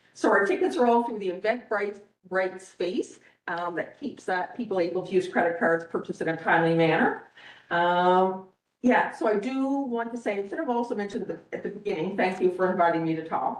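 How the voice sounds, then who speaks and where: Audible room echo surrounds this woman's speech. Her pitch is medium. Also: ordinary pitch variation, fairly quick pace. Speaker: school administrator presenting to town council. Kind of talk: presentation to council. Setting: council meeting. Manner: fast; animated.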